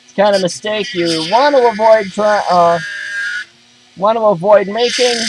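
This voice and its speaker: A loud man with a high pitch speaks at a fairly slow pace, leaving long, frequent pauses amid noticeable background noise. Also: ordinary pitch variation. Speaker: DIY repair video maker. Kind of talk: tutorial.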